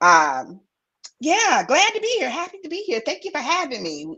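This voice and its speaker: A woman with an American accent speaks in a raised, projected voice, her bright, sharp tone pitched high and swinging very widely in pitch and strongly in loudness. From eastern North Carolina. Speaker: intuitive, artist, guest. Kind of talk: casual chat.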